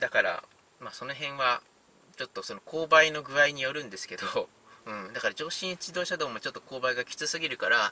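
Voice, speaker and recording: A man talks at a fairly quick pace with big swings in loudness. The sound is dry, with no echo. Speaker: car reviewer. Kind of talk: casual commentary while driving. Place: car. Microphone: phone near.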